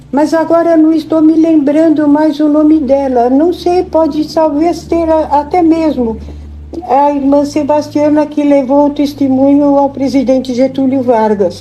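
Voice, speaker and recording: A high-pitched woman's voice at a fairly slow pace, fairly even intonation and very even loudness, with noticeable background noise. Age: 80s+. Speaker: elderly church member. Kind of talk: interview. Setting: home visit.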